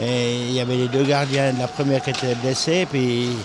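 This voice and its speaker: Noticeable background noise sits behind a man speaking fairly slowly at a medium pitch. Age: 70s. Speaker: former ice hockey goalkeeper and event organizer. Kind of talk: interview. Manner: hesitant, repetitive.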